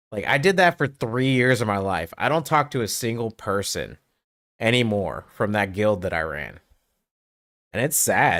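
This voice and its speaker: A man at medium pitch speaks with lively intonation on a very clean recording with a silent background. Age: 40s. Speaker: gaming streamer. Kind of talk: casual chat. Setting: home streaming setup. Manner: loud.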